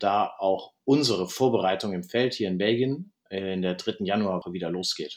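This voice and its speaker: A man talks at a moderate pace in a fairly low pitch. It is a plain, everyday voice. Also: ordinary pitch variation, quiet background. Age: 30s. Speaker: field hockey goalkeeper. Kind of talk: interview.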